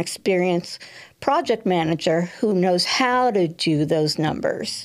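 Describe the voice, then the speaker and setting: Against a quiet background, a woman with a fairly low voice talks at a fairly slow pace with ordinary pitch variation. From New York. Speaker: political candidate; candidate. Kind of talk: interview. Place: studio. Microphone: studio mic.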